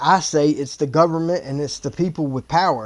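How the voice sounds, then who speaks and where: Over noticeable background noise, a man with an American accent speaks at a fairly quick pace, with fairly high pitch and fairly even intonation. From US East Coast. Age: 40s. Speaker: YouTube reaction host. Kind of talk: casual reaction commentary.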